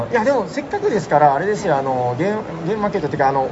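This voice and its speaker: Talking at a very fast pace with very wide pitch swings, a man is heard through audible room echo and noticeable background noise. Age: middle-aged. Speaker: podcast host. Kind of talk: casual chat. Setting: convention hall.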